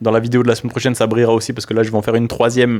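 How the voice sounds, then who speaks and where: A man speaks at a medium pitch over noticeable background noise. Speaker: personal development youtuber. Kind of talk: casual improvised monologue to camera. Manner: loud; casual, hesitant with fillers.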